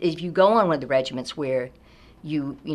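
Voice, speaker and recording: Her voice is very deep and low in pitch. The woman uses ordinary pitch variation. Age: 60s. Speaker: early childhood teacher. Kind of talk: interview testimony. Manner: casual, many fillers.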